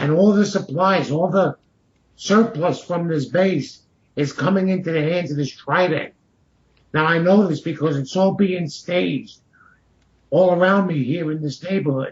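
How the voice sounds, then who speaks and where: A man talks in a high pitch at a moderate pace, with ordinary pitch variation. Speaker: caller, Marine Corps veteran. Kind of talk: call-in talk.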